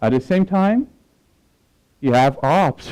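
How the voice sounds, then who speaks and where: A man talks at a moderate pace in a Portuguese accent. His tone is dark and mellow, and the sound is dry and close with no echo. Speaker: application security professional. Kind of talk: conference talk. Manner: hesitant, with filler words.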